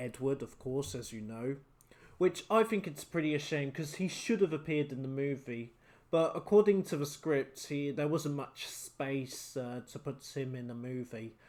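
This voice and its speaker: This man speaks with a British accent. His pitch sits fairly high. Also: very clean recording, silent background. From Britain. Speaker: YouTube reviewer. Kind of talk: casual film review. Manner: hesitant, many fillers. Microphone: new USB microphone, recorded on computer.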